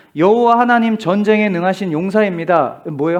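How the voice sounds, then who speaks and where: Fairly quick and high-pitched, a man's voice comes through over a quiet background. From rural Korea. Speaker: pastor. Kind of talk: sermon. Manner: conversational, asks congregation questions.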